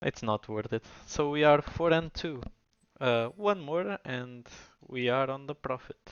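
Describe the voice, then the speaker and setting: In a Portuguese accent, a man speaks at a medium pitch with ordinary pitch variation. His pace is fairly slow. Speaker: gaming streamer. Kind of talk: gameplay commentary. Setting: live stream.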